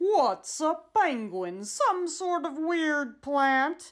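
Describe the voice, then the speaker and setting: A woman bellows in a high-pitched put-on character voice at a very slow pace. The recording is very clean, with a silent background. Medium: read story. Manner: bellowing, trumpeting.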